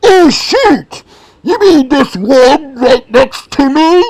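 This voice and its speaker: At a very slow pace, a put-on character voice speaks in a high pitch. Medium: solo performance. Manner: upbeat, exclamatory.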